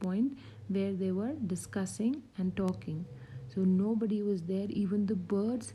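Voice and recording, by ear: The clip is reading aloud in a natural voice, with fairly even intonation.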